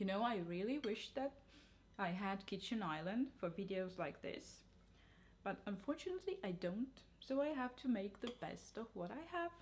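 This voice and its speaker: The woman's voice sits at a medium pitch. She keeps a moderate pace. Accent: non-native. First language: not English. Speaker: cooking and nutrition vlogger. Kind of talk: cooking tutorial. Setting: home kitchen.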